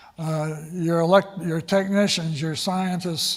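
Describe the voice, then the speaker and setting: Audible room echo surrounds a high-pitched man whose intonation stays fairly even. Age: 80s+. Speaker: space education institute leader. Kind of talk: conference talk. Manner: halting, with many fillers.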